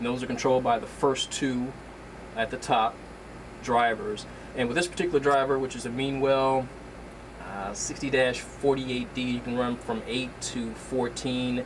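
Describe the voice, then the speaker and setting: A man's medium-pitched voice at a moderate pace, fairly even in intonation, with long, frequent pauses and noticeable background noise. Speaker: aquarium hobbyist vlogger. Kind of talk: casual tutorial. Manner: hesitant with fillers.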